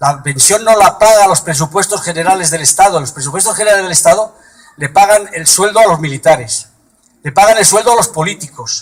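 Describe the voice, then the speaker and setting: The pitch of this man is high. Its variation is ordinary. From Madrid, Spain. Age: 70s. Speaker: political activist. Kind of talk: political speech. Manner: halting.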